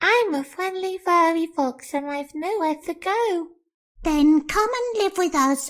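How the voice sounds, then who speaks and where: This put-on character voice sits at an extremely high pitch and sounds squeaky. The delivery is fairly slow. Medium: read story. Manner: bright, friendly.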